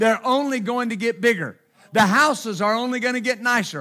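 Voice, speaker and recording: In a Texan accent, a man with an extremely high pitch uses a raised, projected voice with a bright, sharp tone and ordinary pitch variation. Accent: Texan (US Southern). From Texas. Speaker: pastor. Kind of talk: sermon. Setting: church.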